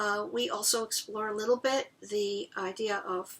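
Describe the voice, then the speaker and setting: Speaking at a fairly slow pace, a woman uses a fairly high pitch, a bright, sharp tone, and ordinary pitch variation. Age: 60s. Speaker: voice teacher. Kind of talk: interview.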